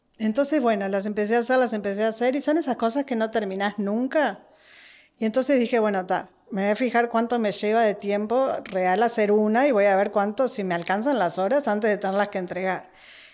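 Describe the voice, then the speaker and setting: A woman talks at a fairly quick pace in a fairly high voice with ordinary pitch variation, in a very clean recording with a silent background. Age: 40s. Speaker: podcast guest, host's sister. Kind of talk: casual chat. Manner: animated.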